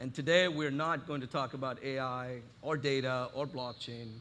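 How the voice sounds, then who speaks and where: Audible room echo surrounds a man talking at medium pitch with ordinary pitch variation. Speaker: conference speaker. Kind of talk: conference talk. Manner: loud.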